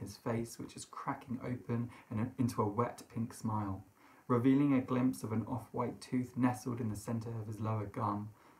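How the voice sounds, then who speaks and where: The pace is moderate. A man talks with intonation that is fairly even. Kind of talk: literary reading. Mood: eerie, hushed storytelling. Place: home room.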